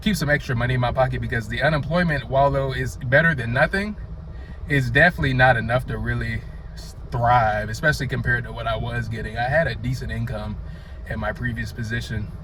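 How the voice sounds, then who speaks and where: Very fast man's speech in a North Carolina accent, with noticeable background noise and audible room echo. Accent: Southern (North Carolina). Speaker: vlogger. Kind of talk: casual vlog monologue. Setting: outdoors, sunny day.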